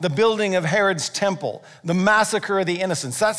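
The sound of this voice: The intonation stays fairly even. It is an unforced reading voice.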